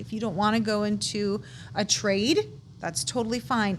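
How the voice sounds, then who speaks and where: With an American accent, a woman talks at medium pitch and a moderate pace, her voice showing vocal fry and very wide pitch swings. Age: 40s. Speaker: guest sharing life story. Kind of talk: casual interview chat. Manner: halting, self-correcting.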